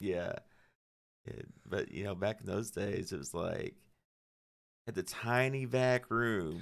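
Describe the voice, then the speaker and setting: Speaking very slowly with long, frequent pauses, a man with a Southern US accent uses a fairly low pitch and ordinary pitch variation. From Arkansas (Cabot area, near Little Rock). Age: 40s. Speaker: metal guitarist. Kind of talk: casual chat. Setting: studio.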